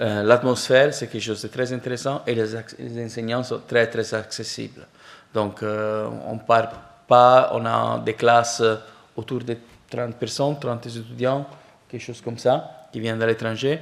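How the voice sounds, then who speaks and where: The man talks at a fairly slow pace and medium pitch. His intonation is monotone and flat. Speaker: professor, program director. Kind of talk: presentation to prospective students. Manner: halting, many fillers.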